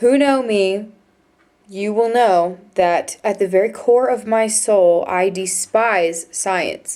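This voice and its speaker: Her pitch varies ordinarily. This woman's voice sits at a medium pitch. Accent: American. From United States. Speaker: vlogger, exchange student. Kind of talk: casual vlog monologue. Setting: dorm room. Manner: hesitant, many fillers.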